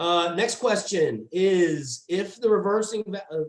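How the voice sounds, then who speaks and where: A man speaks loudly in a high pitch. His pitch varies in an ordinary way. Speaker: HVAC trainer. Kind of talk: training webinar.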